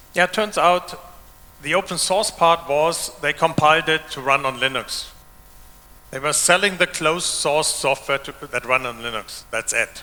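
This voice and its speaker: A man with a German accent, fairly high-pitched for a man, at a moderate pace with ordinary pitch variation. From Germany. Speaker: open source developer and conference speaker. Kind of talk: conference keynote talk. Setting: stage with audience.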